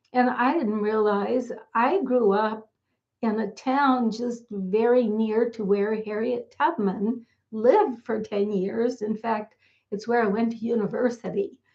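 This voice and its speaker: Using fairly even intonation, a woman with a Canadian accent talks in a fairly high pitch. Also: fairly slow pace. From Canada, Niagara region of Ontario. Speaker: author and past-life teacher. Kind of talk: talking-head tutorial.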